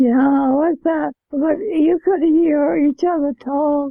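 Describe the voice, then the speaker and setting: Speaking fairly slowly, a woman uses a high pitch and fairly even intonation. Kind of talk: interview answer. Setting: home, TV on in background. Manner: soft-spoken, sudden loud bursts.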